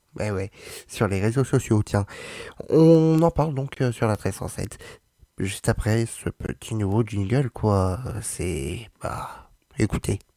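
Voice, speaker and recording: A man speaks very slowly at medium pitch, with a dark, mellow tone, lively intonation, and long, frequent pauses. The sound is dry and close with no echo, on a very clean recording with a silent background. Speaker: radio host. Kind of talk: casual radio show hosting. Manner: loud.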